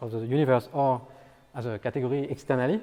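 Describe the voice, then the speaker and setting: The man talks at a fairly quick pace with ordinary pitch variation. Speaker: mathematics lecturer. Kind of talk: lecture. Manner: fast; halting, many fillers and repetitions.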